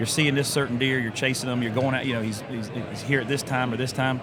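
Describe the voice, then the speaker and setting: A man with a Southern US accent and fairly even intonation, amid noticeable background noise and audible room echo. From Florida (Brooksville). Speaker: podcast host. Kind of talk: casual chat. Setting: convention show floor.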